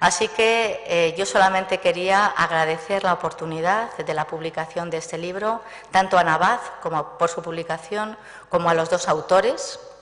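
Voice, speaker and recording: With noticeable background noise behind her, a woman with a fairly low pitch speaks at a moderate pace using fairly even intonation. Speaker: librarian or archivist giving welcome. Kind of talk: welcome speech. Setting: book presentation with audience.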